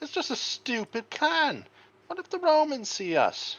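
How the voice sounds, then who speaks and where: Squeaky and high-pitched, this put-on character voice moves at a moderate pace. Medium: read story. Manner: anxious, whiny.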